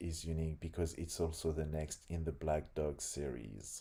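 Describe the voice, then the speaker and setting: Recorded very cleanly with a silent background, a man with a French accent speaks in a very deep, low pitch with a dark, mellow tone. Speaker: game developer. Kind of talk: reading aloud. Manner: halting.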